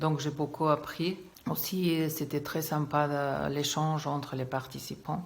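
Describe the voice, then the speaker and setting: A woman with a very deep, low pitch speaks very slowly in a monotone, flat way. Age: 60s. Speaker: English teacher, client giving testimonial. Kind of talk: testimony. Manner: hesitant, many filler sounds.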